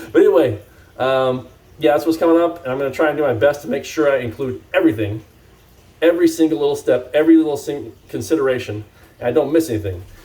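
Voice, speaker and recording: Somewhat breathy and dark and mellow in tone, a man talks very fast at a fairly high pitch with ordinary pitch variation. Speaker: cannabis grow YouTuber. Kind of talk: casual vlog talk to camera. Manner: rambling, many fillers.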